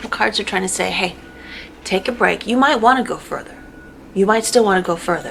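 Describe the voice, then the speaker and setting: The background carries noticeable noise. Over it, a woman speaks fairly quickly. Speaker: tarot reader. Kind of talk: tarot reading monologue. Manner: halting; casual.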